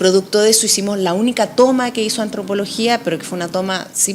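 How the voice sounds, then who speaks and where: Noticeable background noise sits behind this voice. A woman talks at medium pitch and a fairly quick pace. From Chile. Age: 40s. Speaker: political candidate. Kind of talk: interview.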